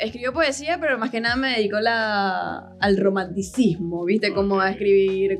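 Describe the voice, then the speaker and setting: A woman's medium-pitched voice at a moderate pace, with ordinary pitch variation and hardly any pauses. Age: 20s. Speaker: social media content creator. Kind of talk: casual chat.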